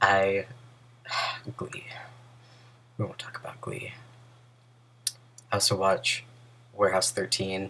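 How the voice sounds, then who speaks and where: Mumbling at a fairly slow pace, a man speaks with a fairly low pitch, monotone, flat intonation, big swings in loudness and long, frequent pauses. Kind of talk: casual talk to camera.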